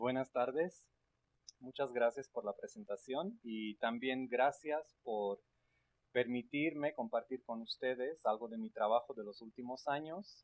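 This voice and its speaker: A man at a medium pitch with ordinary pitch variation. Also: fairly slow pace. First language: not Spanish or English (speaking Spanish). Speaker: linguistics researcher. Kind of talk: academic lecture. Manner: hesitant with filler sounds.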